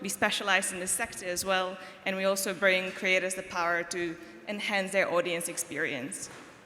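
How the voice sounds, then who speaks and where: A woman talks at a moderate pace and medium pitch. Her intonation is fairly even, with noticeable background noise. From Czech Republic, Prague. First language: Czech. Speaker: marketing agency founder. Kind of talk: panel discussion.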